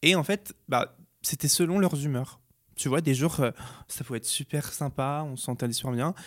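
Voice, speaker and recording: A man with a plain, everyday voice speaks at fairly high pitch and a moderate pace, in a very clean recording with a silent background and a dry, close sound with no echo. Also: ordinary pitch variation. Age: 20s. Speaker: beauty YouTuber. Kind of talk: interview testimony.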